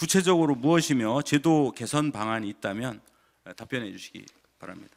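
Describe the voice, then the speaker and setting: The recording is very clean with a silent background, as a man with a normal speaking voice talks at a moderate pace and medium pitch. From South Chungcheong, Korea (Cheonan). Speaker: provincial council member. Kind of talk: formal legislative questioning. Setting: council assembly chamber.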